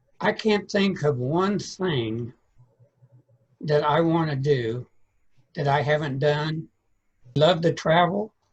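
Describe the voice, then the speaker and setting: A man with a fairly high pitch speaks very slowly at a very even loudness, using ordinary pitch variation and long, frequent pauses. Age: 70s. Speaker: author and literary strategist. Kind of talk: interview.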